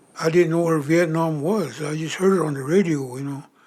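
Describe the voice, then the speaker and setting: A man with a western US accent, a fairly high pitch, a moderate pace and fairly even intonation. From Wind River Reservation, Wyoming (Shoshone). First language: Shoshone. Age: 70s. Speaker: war veteran. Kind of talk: documentary interview.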